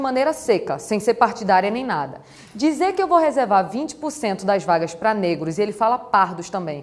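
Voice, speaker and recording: Over noticeable background noise, a woman with a fairly high pitch speaks at a moderate pace in an animated tone with very wide pitch swings. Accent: slight Pernambuco. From Brazil, Recife, Pernambuco. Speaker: law teacher. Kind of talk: lecture.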